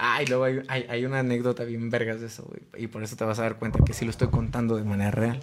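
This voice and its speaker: The man's medium-pitched voice moves along at a fairly quick pace. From Mexico, León, Guanajuato. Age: 20s. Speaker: rock band vocalist. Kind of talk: casual chat.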